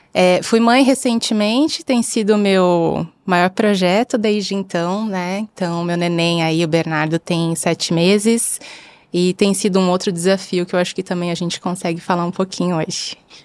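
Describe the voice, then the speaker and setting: Using an unremarkable speaking voice, a woman talks at a medium pitch and moderate pace with ordinary pitch variation. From Brazil. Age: 30s. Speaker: bank product executive. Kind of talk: video podcast interview.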